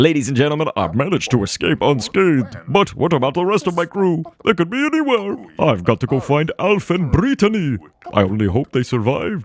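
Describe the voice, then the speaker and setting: A man puts on a character voice with a dramatic tone, speaking at a fairly quick pace in a fairly high pitch with very wide pitch swings. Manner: heroic, dramatic.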